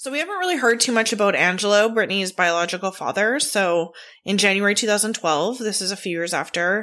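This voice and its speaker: In a very clean recording with a silent background, a woman speaks very fast at medium pitch with ordinary pitch variation and a bright, sharp tone. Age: 30s. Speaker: true crime podcast host. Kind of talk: solo podcast narration. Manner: casual, chatty with filler words.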